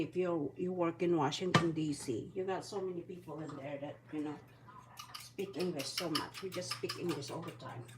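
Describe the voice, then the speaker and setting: A woman's fairly low voice amid noticeable background noise. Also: big swings in loudness. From Philippines. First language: Bisaya. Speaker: vlogger, retired mother. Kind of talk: casual cooking vlog. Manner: chatty, rambling self-corrections.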